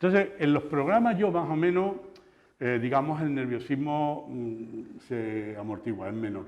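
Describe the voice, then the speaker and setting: In a strong Andalusian accent, a fairly high-pitched man speaks at a fairly slow pace with very wide pitch swings, and room echo can be heard. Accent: Andalusian, kept strong. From Andalusia, La Luisiana (Seville province). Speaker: TV news presenter and journalist. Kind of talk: interview conversation. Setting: talk before an audience of teachers. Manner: halting, repetitive.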